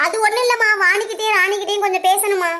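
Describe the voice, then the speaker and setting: A woman uses a cartoonish character voice at an extremely high pitch, talking at a fairly quick pace with fairly even intonation. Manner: commanding.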